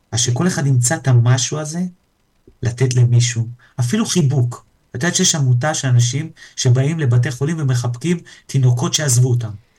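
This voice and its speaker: A man with a medium-pitched, somewhat breathy voice of dark, mellow tone talks at a moderate pace, his pitch varying in an ordinary way. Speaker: entrepreneur and personal coach. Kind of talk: casual chat. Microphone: too quiet at first.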